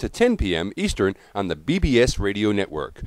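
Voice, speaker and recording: A man speaks with very wide swings in pitch. His voice carries vocal fry. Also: very clean recording, silent background. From Australia. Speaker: radio show host. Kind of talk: radio show hosting. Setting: radio broadcast.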